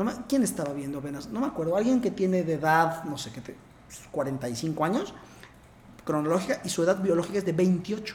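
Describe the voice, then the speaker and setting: A man with a central Mexican accent speaks in a high pitch with lively intonation. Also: moderate pace. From Puebla, Mexico. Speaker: interventional cardiologist. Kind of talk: casual interview.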